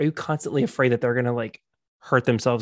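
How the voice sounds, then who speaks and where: An ordinary speaking voice from a man with an American accent, medium in pitch, with fairly even intonation, on a very clean recording with a silent background and a dry, close sound with no echo. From South Florida. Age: 30s. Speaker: podcast host. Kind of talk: casual chat.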